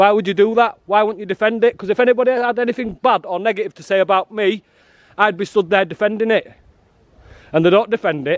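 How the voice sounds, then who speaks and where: Loud and animated, a man speaks at a very fast pace in a high pitch. He talks in a northern English accent, with a dry, close sound with no echo. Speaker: activist filming outside a prison. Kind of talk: street confrontation interview. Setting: outdoors.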